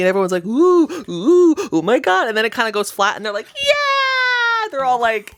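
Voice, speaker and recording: A woman speaks over noticeable background noise. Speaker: podcast co-host. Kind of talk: casual chat, retelling a movie plot. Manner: animated, with sound effects and acted-out dialogue.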